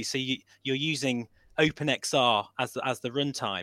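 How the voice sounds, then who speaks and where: A normal speaking voice goes at a fairly slow pace on a very clean recording with a silent background. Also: man. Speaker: VR flight sim enthusiast. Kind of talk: casual chat.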